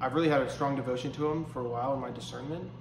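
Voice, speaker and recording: A man in an American accent, medium pitch and monotone, flat intonation, amid audible room echo and noticeable background noise. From Pennsylvania, US. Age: 20s. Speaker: seminarian. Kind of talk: interview. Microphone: faulty lapel microphone, poor audio.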